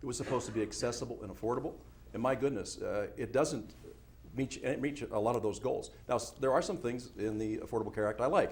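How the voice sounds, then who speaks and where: A man talks at a very fast pace in an American accent. His voice is somewhat breathy. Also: medium pitch for a man, ordinary pitch variation. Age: 60s. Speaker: congressional candidate. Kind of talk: political debate. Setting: TV studio debate.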